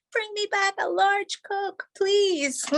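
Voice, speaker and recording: A woman's put-on character voice, squeaky and shouting at an extremely high pitch. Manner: yelling.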